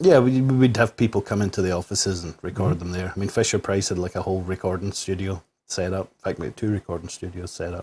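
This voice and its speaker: A man with a Scottish accent talks at a very fast pace with hardly any pauses, his voice very deep and low. His tone is dark, mellow and somewhat breathy, with big swings in loudness. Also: ordinary pitch variation, very clean recording, silent background. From Scotland. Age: young. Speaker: video game and toy composer. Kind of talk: interview answer.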